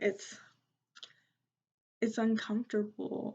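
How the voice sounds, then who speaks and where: A woman speaks at a very slow pace in a somewhat breathy voice. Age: 30s. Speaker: tarot and divination reader. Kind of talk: spiritual reading talk to camera.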